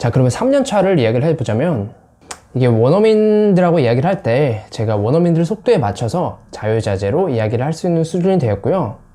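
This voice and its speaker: A man's fairly high voice with a dark, mellow tone, very wide pitch swings and a fairly quick pace. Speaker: English-learning YouTuber. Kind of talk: personal vlog monologue.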